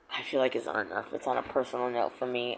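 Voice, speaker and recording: A woman with an American accent talks at a very fast pace over noticeable background noise. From Missouri. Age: 50s. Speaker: vlogger. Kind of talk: personal vlog monologue.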